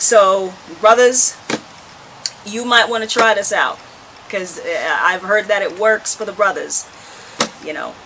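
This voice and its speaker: Over noticeable background noise, a woman in a Jamaican accent speaks at a fairly high pitch and a moderate pace. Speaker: herbal health vlogger. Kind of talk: tutorial. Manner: casual, conversational.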